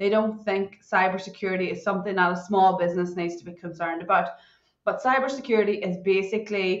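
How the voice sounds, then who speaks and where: A woman speaks with a Northern Irish accent. Her pace is fairly quick. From Northern Ireland. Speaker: cybersecurity consultant. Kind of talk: podcast interview. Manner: animated.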